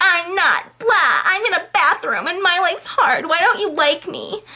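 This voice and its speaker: Using a put-on character voice, a woman speaks at an extremely high pitch and a moderate pace. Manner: slurring, whiny.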